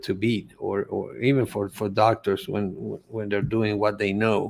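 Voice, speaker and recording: In a very clean recording with a silent background, a man with a Spanish accent talks at a fairly slow pace and a medium pitch. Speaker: holistic coach and cancer survivor. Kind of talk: interview testimony. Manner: halting, many repetitions.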